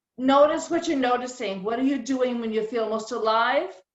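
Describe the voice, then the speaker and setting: With an American accent, the speaker talks at a fairly slow pace with ordinary pitch variation, and audible room echo surrounds the voice. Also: woman. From rural New England, later Southern California. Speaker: caterer and speaker. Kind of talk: personal talk at virtual meeting.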